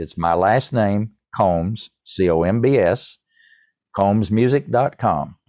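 A man speaks in a fairly low voice with a dark, mellow tone, lively intonation and an East Tennessee accent against a quiet background. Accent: East Tennessee Southern US. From US South. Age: 70s. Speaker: musician and composer, former computer programmer. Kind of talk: podcast interview. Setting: remote call.

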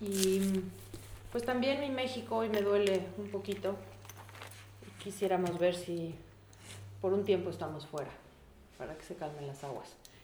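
A woman with a Mexican accent, lively intonation, big swings in loudness, a fairly slow pace and long, frequent pauses, amid noticeable background noise and audible room echo. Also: medium pitch for a woman. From Mexico, Puebla. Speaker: veterinarian and photographer. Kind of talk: casual interview. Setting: home kitchen.

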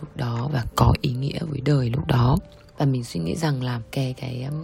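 With noticeable background noise behind it, the voice moves at a moderate pace with lively intonation. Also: woman. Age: 30s. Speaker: hospital executive. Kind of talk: personal testimony.

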